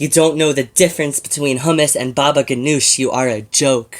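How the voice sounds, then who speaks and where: In a very clean recording with a silent background, a man with a normal speaking voice talks at a moderate pace, his fairly high pitch held in fairly even intonation. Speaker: slam poet. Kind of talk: slam poetry performance.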